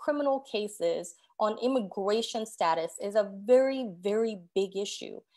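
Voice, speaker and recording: At a moderate pace, a woman speaks in a Korean accent. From South Korea. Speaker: judicial candidate. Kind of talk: candidate forum answer.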